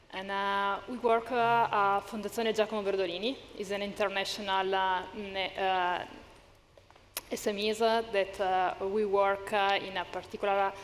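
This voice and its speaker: A woman with an Italian accent speaks in a medium pitch at a moderate pace, her intonation monotone and flat. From Italy. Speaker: panelist, social enterprise support worker. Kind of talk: panel discussion. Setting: stage with audience. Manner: halting, many hesitations.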